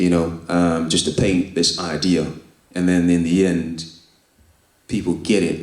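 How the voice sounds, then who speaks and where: Speaking in a London accent, a man with a very deep, low pitch talks at a fairly slow pace in a flat monotone, his loudness very even and his pauses long and frequent. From East London. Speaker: spoken word poet and author. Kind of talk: interview answer. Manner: casual, reflective.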